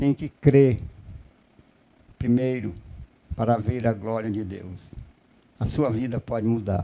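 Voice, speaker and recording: With a dark, mellow tone at medium pitch, a man speaks at a fairly slow pace with ordinary pitch variation and long, frequent pauses. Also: big swings in loudness. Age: 60s. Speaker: preacher. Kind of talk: sermon.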